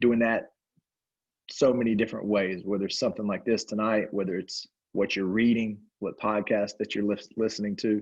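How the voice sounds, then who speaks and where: A man with a Southern US accent, fairly low-pitched, flat and monotone, at a fairly quick pace against a quiet background. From upstate South Carolina. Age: 40s. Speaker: basketball coach. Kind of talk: panel discussion.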